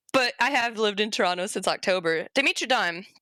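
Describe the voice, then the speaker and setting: A woman speaks at a fairly high pitch with a bright, sharp tone, lively intonation and an animated, playful tone. The sound is dry and close with no echo, a very clean recording with a silent background. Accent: Southern US. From US South, Arkansas. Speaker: convention panel presenter, zoology educator. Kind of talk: informal educational panel talk. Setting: virtual convention panel livestream.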